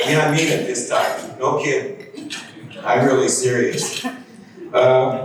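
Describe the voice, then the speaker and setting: A man speaks with a Midwestern US accent. Audible room echo and noticeable background noise fill the recording. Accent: US Midwest. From Iowa. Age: 70s. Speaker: retired journalist. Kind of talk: keynote speech.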